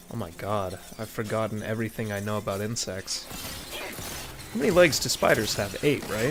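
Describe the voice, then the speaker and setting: A man at medium pitch over noticeable background noise. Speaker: streamer playing video games. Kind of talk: casual live stream commentary. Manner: sometimes quiet, self-muted.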